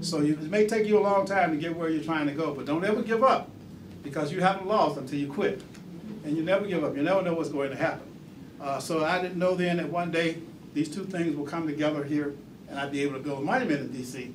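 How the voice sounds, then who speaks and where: Over noticeable background noise and audible room echo, a man talks at a very fast pace. His pitch is fairly high, with ordinary variation. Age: 60s. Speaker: museum founder and former city council member. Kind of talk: talk to an audience.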